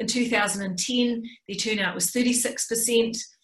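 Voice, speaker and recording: A New Zealand accent with audible room echo. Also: woman. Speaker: political science professor. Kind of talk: lecture.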